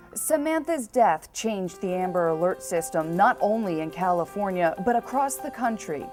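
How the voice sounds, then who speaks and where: A woman with very wide pitch swings and hardly any pauses, over music in the background. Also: medium pitch for a woman, moderate pace. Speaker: TV news reporter. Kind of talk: TV news report. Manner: serious, measured.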